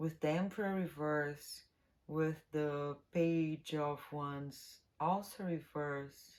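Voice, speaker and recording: Very slowly, a woman speaks at a very deep, low pitch with fairly even intonation. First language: not English. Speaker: tarot reader. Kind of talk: tarot reading monologue. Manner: casual, halting at times.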